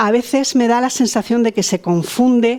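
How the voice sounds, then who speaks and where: The woman's voice has a dark, mellow tone. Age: 60s. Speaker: participant in discussion group. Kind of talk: personal testimony in group discussion. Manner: halting, many fillers and repetitions.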